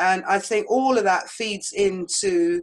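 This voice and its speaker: A woman speaks at a medium pitch with a British accent. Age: 60s. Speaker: author and historian. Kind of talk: podcast interview.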